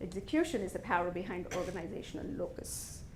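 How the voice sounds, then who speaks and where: A woman talking at a fairly quick pace amid audible room echo. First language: not English. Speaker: business executive giving a talk. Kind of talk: motivational talk to an audience.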